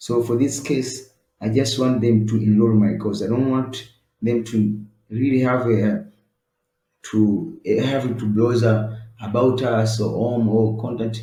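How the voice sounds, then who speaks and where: In an East African accent, a somewhat breathy voice with a dark, mellow tone moves at a very slow pace in monotone, flat intonation, with audible room echo. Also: man, medium pitch for a man. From East Africa (Swahili-speaking country). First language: Swahili. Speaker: web design tutor. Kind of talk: tutorial. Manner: halting, many fillers.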